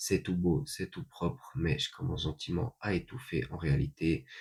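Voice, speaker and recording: A man speaks in a very deep, low, somewhat breathy voice. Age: 30s. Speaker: vlogger. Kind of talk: casual monologue. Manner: hesitant, many fillers.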